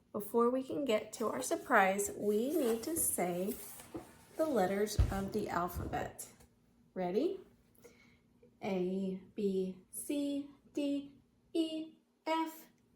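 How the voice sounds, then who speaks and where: Over music in the background, a woman with a fairly high pitch speaks at a very slow pace, with very wide pitch swings and long, frequent pauses. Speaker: homeschool teacher. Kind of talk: children's lesson. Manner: whispering.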